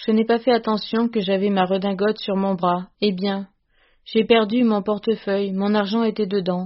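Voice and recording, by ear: Reading aloud in a natural voice, the speaker keeps a fairly even intonation against a quiet background.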